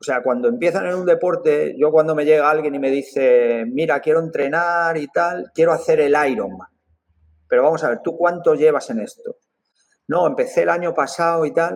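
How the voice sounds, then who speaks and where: Here a man speaks in a high voice with ordinary pitch variation. His pace is moderate. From Spain. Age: 60s. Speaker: triathlete and coach. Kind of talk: podcast interview.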